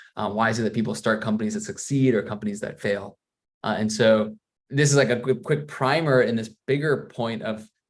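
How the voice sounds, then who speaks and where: Speaking at a fairly quick pace, a man with an American accent has a medium pitch and ordinary pitch variation. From US Midwest, Missouri. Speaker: PhD student, data scientist. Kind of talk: webinar talk. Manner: hesitant, many fillers and repeats.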